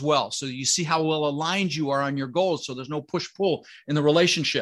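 A man with an American accent talks at a very fast pace over a quiet background. His fairly high pitch moves with ordinary variation. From Colorado. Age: 60s. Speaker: real estate investor. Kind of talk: interview.

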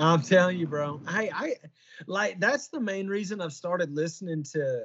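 The intonation is lively. The pace is moderate. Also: man. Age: 30s. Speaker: podcast host. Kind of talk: casual chat. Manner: halting.

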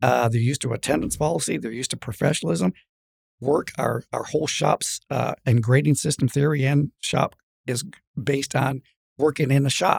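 The speaker's voice carries vocal fry and ordinary pitch variation. The pace is moderate. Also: man, medium pitch for a man. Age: 60s. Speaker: rancher and college president. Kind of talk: casual interview chat.

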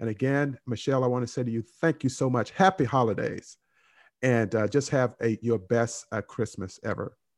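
A man talks at a moderate pace and medium pitch, with ordinary pitch variation and a warm, enthusiastic tone. The sound is dry and close with no echo, over a quiet background. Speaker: podcast host. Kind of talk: interview, friendly chat.

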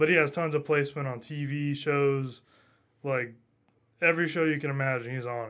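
With an American accent, a man speaks at a fairly quick pace in a fairly high voice with fairly even intonation and long, frequent pauses, on a very clean recording with a silent background. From northern US. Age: 20s. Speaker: audio engineer. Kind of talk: casual chat. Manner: fast talker.

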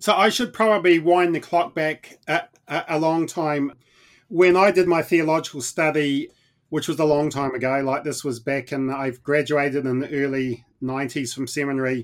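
Here a man with a New Zealand accent talks at a moderate pace, fairly high in pitch with ordinary pitch variation. The recording is very clean with a silent background. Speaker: mission organization leader, former pastor. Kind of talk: interview.

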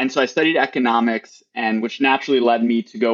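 Here a man with an American accent and a plain, everyday voice speaks fairly quickly at medium pitch, the sound dry and close with no echo. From Wisconsin, near Milwaukee. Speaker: startup co-founder. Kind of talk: interview.

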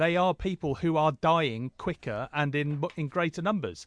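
Against a quiet background, a man with an English accent talks at a fairly high pitch. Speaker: podcast co-host. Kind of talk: casual chat.

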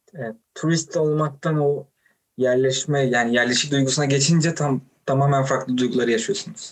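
The voice is somewhat breathy and moves at a moderate pace. Its intonation stays fairly even. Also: man, fairly high pitch for a man. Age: 20s. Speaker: podcast host. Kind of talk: interview.

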